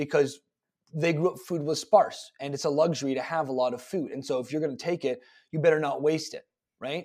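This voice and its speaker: A fairly quick pace in a Canadian accent, with big swings in loudness and ordinary pitch variation. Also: man, fairly high pitch for a man. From Canada, Toronto suburbs. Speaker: fitness coach. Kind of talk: casual interview chat. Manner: hesitant, many fillers.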